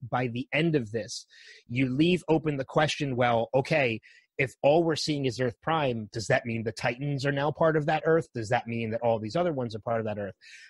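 Recorded with a dry, close sound and no echo, a man with a somewhat breathy, medium-pitched voice talks at a moderate pace. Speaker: podcast host guest. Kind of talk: casual chat.

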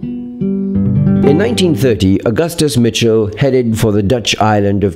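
A man with a fairly low pitch speaks at a moderate pace with lively intonation. Music plays in the background. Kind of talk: documentary narration.

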